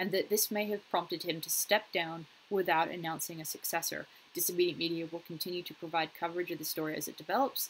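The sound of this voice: A woman speaks fast at a fairly low pitch. Her intonation stays fairly even.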